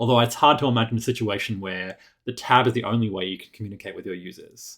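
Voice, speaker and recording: A man talks very fast at a medium pitch. His pitch varies in an ordinary way. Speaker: web developer. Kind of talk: tutorial. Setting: screencast.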